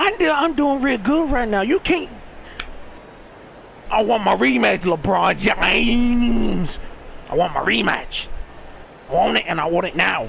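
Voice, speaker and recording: Over noticeable background noise, a man with an American accent speaks fairly slowly at very even loudness, with long, frequent pauses. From US South. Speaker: gaming streamer. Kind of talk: gameplay commentary. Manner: animated.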